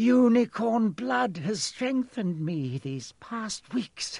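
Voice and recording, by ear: A man puts on a slow character voice at a high pitch with big pitch swings. His speech has vocal fry and hissing. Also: slightly mellow tone.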